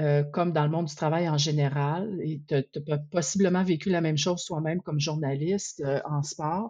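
Against a quiet background, a woman speaks at a very deep, low pitch in a dark, mellow tone with fairly even intonation. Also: moderate pace. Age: 50s. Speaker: researcher and advocate for women in sport. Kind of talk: interview.

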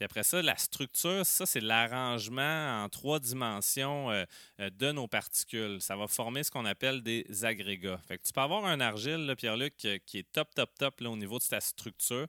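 Bright and sharp in tone, the voice carries a Quebec accent and lively intonation in a very clean, dry, close recording with a silent background and no echo. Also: man, medium pitch for a man, moderate pace. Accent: Québécois French. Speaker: soil science teacher. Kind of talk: explanatory chat.

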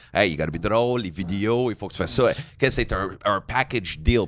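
A man's unremarkable speaking voice at a fairly low pitch and a moderate pace. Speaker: comedy podcast host. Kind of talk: casual chat.

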